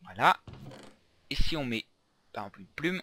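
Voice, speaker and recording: Very fast speech from a man with a bright, sharp tone and a dry, close sound with no echo. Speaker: gaming youtuber. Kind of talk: let's play commentary. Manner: casual, halting.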